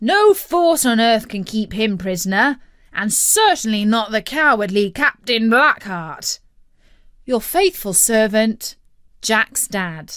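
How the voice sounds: In a put-on character voice, a woman speaks slowly at a fairly high pitch with big pitch swings and a fairly bright, clear, smooth tone.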